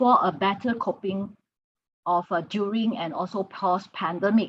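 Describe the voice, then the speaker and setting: A somewhat breathy voice belongs to a woman. She talks at a moderate speed. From Sarawak, East Malaysia. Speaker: conference keynote speaker, academic. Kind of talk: conference presentation. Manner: halting, many fillers.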